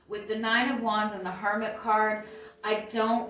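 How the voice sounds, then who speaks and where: A woman at a medium pitch with music in the background and audible room echo. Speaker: tarot reader. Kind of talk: tarot reading. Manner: hesitant fillers.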